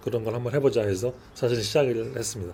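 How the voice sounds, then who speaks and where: A man with a medium-pitched voice talks at a fairly quick pace with ordinary pitch variation, against noticeable background noise. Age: 60s. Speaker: cafe owner and barista. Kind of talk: interview. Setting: in a cafe. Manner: hesitant with frequent fillers.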